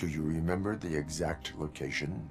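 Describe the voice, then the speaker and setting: A man puts on a character voice with a very deep, low pitch, speaking at a moderate pace over clear background music. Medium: video game. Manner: flat, monotone, formal.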